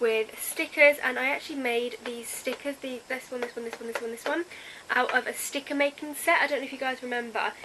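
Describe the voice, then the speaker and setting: A woman speaks in a high voice with ordinary pitch variation over noticeable background noise. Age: young. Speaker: youtuber. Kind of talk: casual vlog.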